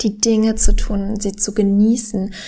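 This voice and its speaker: A woman speaks at a very slow pace. Her voice is somewhat breathy, with a dark, mellow tone. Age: 20s. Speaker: podcast host and professional tennis player. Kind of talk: solo podcast monologue. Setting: home living room.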